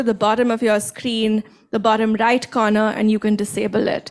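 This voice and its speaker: A woman speaks at a moderate pace with fairly high pitch, in a plain, everyday voice. The background is quiet. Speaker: nuclear engineering professor. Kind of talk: event introduction and moderation. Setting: stage with audience. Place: hall.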